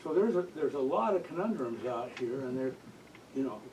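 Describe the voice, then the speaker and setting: Noticeable background noise sits behind a man's voice. He talks at a fairly quick pace with a medium pitch. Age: 80s+. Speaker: audience member asking a question. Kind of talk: audience question at book talk. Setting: bookstore event with audience. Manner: halting.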